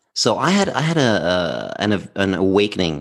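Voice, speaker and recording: With a Danish accent, a man speaks against a quiet background. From southern Denmark. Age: 50s. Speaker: former workplace happiness speaker. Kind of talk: casual interview.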